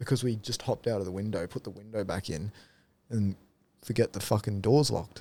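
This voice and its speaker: In a very clean recording over a silent background, a man with an Australian accent speaks at a fairly low pitch in a dark, mellow tone. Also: ordinary pitch variation, fairly quick pace. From Darwin, northern Australia. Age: 20s. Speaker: removalist. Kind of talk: casual chat.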